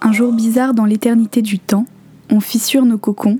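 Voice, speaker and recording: At a fairly slow pace, a woman with a fairly high pitch speaks in a monotone, flat intonation, in a dry, close sound with no echo. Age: 20s. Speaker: podcaster. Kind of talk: reading aloud; scripted narration.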